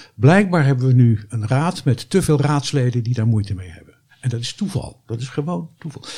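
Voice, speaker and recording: Somewhat breathy, a man speaks at a fairly quick pace with medium pitch and a dark, mellow tone. His intonation is lively and his loudness swings widely. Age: 70s. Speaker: retired doctor and former local councillor. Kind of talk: podcast interview.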